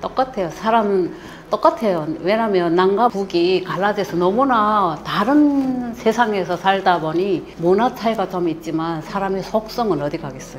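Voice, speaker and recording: Against noticeable background noise, a woman with a strong North Korean accent speaks at medium pitch and a fairly slow pace, her intonation lively. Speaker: North Korean defector, mother-in-law. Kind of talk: interview.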